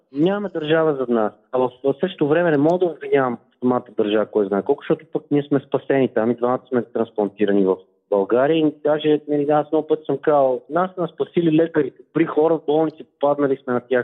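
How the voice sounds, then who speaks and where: At a fairly quick pace and in a normal speaking voice, the speaker goes on with hardly any pauses and ordinary pitch variation. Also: man, fairly high pitch for a man, very even loudness. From Bulgaria, Velingrad. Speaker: transplant athlete, former journalist. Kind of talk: phone interview.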